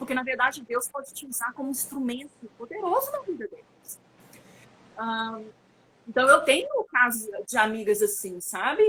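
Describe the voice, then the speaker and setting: A woman's high-pitched voice with lively intonation over noticeable background noise. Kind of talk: online conference talk. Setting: online live stream.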